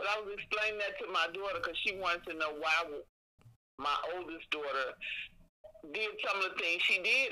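An ordinary speaking voice from a woman with an American accent, at a moderate pace with ordinary pitch variation. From Chicago. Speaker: host's mother. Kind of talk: storytelling.

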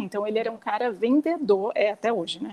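The woman's tone is dark and mellow, set at a fairly high pitch. She keeps a moderate pace. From interior of São Paulo state, Brazil. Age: 40s. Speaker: nail salon owner and mother. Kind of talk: casual interview chat.

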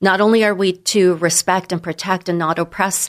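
A woman with an American accent speaks in a plain, everyday voice with fairly even intonation. The recording is very clean, and the background is silent. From San Diego, California. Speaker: immigration attorney. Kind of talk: radio interview.

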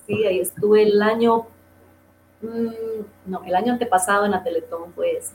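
With a Costa Rican accent, the speaker keeps a moderate pace and fairly even intonation, leaving long, frequent pauses over noticeable background noise. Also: woman, fairly high pitch for a woman. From Costa Rica, southern zone (Golfito). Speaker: singer. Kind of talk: interview. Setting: radio stream.

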